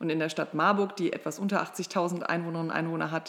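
The woman uses a normal speaking voice, fairly low in pitch with fairly even intonation. Her pace is fairly quick. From Ruhr area, Germany (Mülheim an der Ruhr). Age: 30s. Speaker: state politician. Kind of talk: political interview.

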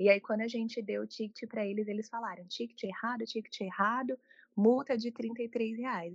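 The sound is dry and close, with no echo. A somewhat breathy voice moves at a fairly quick pace with fairly even intonation. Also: woman. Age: 20s. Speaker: journalist and travel content creator. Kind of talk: interview.

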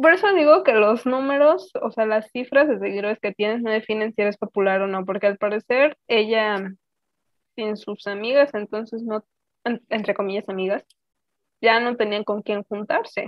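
Moderate pace and lively intonation in an unremarkable speaking voice. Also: woman. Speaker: podcast co-host. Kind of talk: casual chat.

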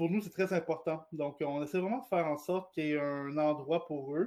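On a very clean recording with a silent background, a man talks in an ordinary speaking voice. His pitch is fairly high, his intonation fairly even and his pace moderate. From Quebec, Gatineau. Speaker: director of an LGBT advocacy organization. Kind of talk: radio interview.

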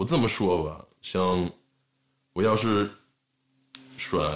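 Speaking very slowly, a man with an American accent uses ordinary pitch variation. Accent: American-accented Mandarin. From US, Los Angeles area (Southern California). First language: English (speaking Chinese). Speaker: rapper and skateboard brand co-founder. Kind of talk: casual chat.

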